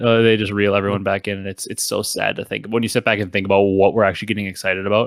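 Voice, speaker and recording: On a very clean recording with a silent background, a man talks very fast with hardly any pauses, using a fairly low pitch and a monotone, flat intonation. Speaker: gaming podcast host. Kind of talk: casual chat.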